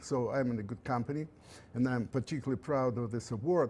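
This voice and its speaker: A man's dark, mellow voice with a Russian accent, on a very clean recording with a silent background. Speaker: engineering professor. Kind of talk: lecture. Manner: halting.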